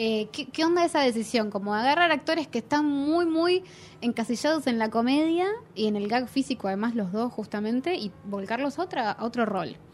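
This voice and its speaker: Music plays behind a woman with an Argentine accent. She speaks at a fairly quick pace in a high pitch with lively intonation. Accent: Argentine Spanish (Rioplatense). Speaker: podcast host, film critic. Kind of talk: interview.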